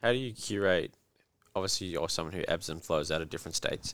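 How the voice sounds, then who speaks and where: Fairly quick talk from a man in an Australian accent. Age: 20s. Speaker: podcast host and coach. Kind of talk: casual chat.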